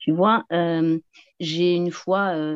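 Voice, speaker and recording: The woman talks very slowly. Her voice sits fairly low. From southwest France, near the Pyrenees. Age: 50s. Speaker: feng shui and geobiology practitioner. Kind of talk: casual chat.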